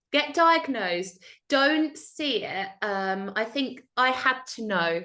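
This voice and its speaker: A woman speaks loudly at a high pitch. Her pitch swings very widely. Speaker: tutor, tutoring business owner. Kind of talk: interview.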